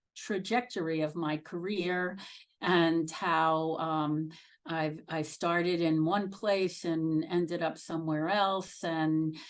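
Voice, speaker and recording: In a Brooklyn accent, a woman speaks at a very slow pace with a fairly low pitch. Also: quiet background. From Brooklyn, New York. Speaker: nursing executive. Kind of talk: career talk to students. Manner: halting with many fillers.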